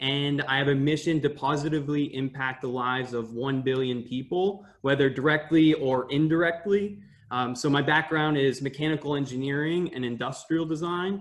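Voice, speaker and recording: In an American accent, a man speaks at a moderate pace with fairly even intonation and hardly any pauses. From US, Maine. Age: 20s. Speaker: climate activist and graduate student. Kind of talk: podcast interview. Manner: hesitant, many fillers.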